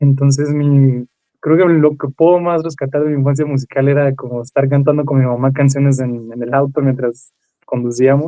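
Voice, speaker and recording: Speaking at a moderate pace, a man uses a fairly high pitch and flat, monotone intonation. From Mexico, Mazatlán, Sinaloa. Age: 20s. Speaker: trombonist. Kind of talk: interview. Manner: halting.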